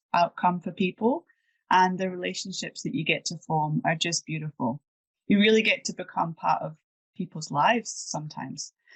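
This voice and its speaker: Speaking with a Scottish accent, a woman uses a fairly low pitch at a moderate pace. The sound is dry and close, with no echo. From Scotland, Edinburgh. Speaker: property manager. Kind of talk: interview.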